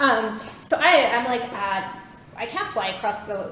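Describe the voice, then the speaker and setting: A woman speaks with a Canadian accent at a fairly high pitch. Noticeable background noise and audible room echo fill the recording. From Vancouver, Canada. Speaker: clinical psychologist. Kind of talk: lecture. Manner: fast.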